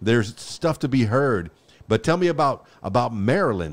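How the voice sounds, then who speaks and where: On a very clean recording with a silent background, a man with an unremarkable speaking voice speaks at medium pitch and a moderate pace. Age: 50s. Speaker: podcast host. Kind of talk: interview.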